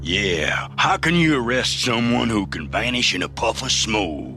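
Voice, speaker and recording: A man doing a cartoonish character voice drawls at a moderate pace with a fairly low pitch, over clear background noise. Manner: folksy western drawl.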